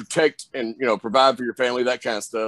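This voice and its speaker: In a Southern US accent, the speaker talks in a flat monotone, recorded with a dry, close sound and no echo. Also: man. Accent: Southern drawl. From US South. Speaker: pro wrestler. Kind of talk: interview. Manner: casual, many fillers.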